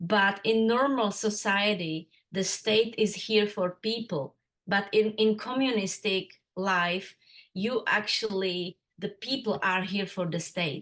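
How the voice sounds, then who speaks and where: A woman speaks with a Czech accent. Her pace is very slow. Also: medium pitch for a woman, ordinary pitch variation. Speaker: interviewee sharing life story. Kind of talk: interview. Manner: halting.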